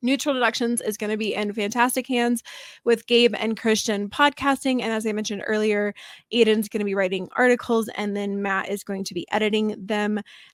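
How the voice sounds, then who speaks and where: At a fairly quick pace, a woman with a fairly high pitch speaks with fairly even intonation. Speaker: podcast host. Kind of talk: podcast outro and announcements. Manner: fast.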